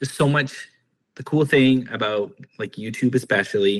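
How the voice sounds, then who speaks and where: A man talks at a moderate pace and medium pitch, his tone bright and sharp with ordinary pitch variation. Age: 40s. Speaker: podcast host. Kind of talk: casual chat.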